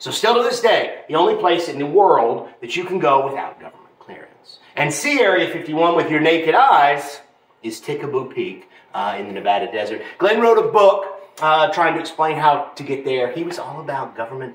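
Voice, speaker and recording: The voice has big swings in loudness. Audible room echo surrounds it. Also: man, moderate pace. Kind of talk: guided tour storytelling. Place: hall. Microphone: camera far.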